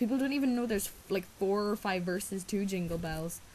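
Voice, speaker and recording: A somewhat breathy woman with an Irish accent at a moderate pace. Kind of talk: casual talk to camera. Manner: hesitant, rambling.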